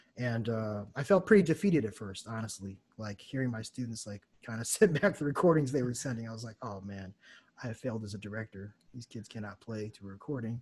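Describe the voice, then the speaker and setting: Speaking at a fairly quick pace with an American accent, a man uses a somewhat breathy voice at medium pitch, with ordinary pitch variation and big swings in loudness. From United States. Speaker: jazz saxophonist and music teacher. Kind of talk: casual interview. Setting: video call. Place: home room. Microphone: studio mic.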